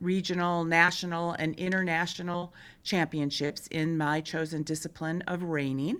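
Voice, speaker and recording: A woman's plain, everyday voice with an American accent, fairly low-pitched, fairly slow, with fairly even intonation. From Michigan. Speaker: state politician. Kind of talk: podcast interview.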